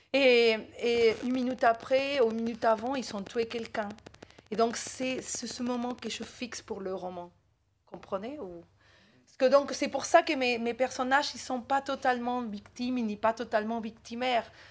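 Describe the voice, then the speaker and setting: Delivered at a moderate pace in an Argentine accent, this voice shows big swings in loudness. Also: woman, high pitch for a woman. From Argentina. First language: Spanish (speaking French). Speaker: novelist. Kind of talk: literary talk. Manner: animated.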